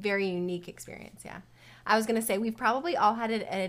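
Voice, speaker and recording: The speaker is a woman. Her pitch is fairly high. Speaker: podcast co-host, dental hygienist. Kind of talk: casual chat. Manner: loud.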